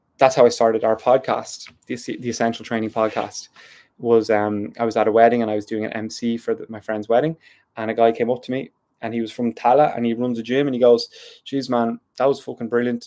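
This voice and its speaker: Speaking with a South Dublin accent, a man with a dark, mellow tone and medium pitch talks at a fairly quick pace, his intonation fairly even but his loudness swinging widely, on a very clean recording with a silent background. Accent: South Dublin (D4) Irish. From Ireland, South Dublin. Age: 30s. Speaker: poet and YouTuber. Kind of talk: casual monologue on a live stream. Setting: live YouTube stream.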